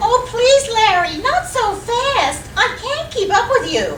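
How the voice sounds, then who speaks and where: Using a put-on character voice, a woman speaks in a squeaky, extremely high pitch at a fairly slow pace, with slight echo and clear background noise. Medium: stage play. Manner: excitable, chatty.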